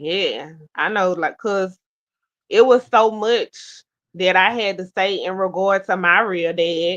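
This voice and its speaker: The speaker goes at a very slow pace, with long, frequent pauses and fairly even intonation. The background is quiet. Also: woman, medium pitch for a woman. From US South, Baton Rouge, Louisiana. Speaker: talk show host. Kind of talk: casual chat.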